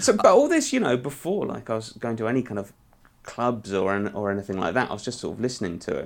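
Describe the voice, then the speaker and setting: A man speaks at a very fast pace with a British accent. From UK. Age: 40s. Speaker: music journalist. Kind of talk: interview conversation. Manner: halting.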